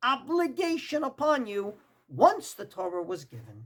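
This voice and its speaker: A man in a Brooklyn accent, with a bright, sharp tone and very wide pitch swings. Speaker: rabbi, Torah teacher. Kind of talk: religious lecture. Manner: emphatic.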